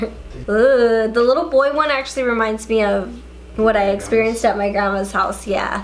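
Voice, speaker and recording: With music in the background, a woman speaks at a fairly quick pace in a playful tone. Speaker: beauty and paranormal-story YouTuber. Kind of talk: casual talk to camera, reading subscribers' ghost stories. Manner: playful, chatty, casual.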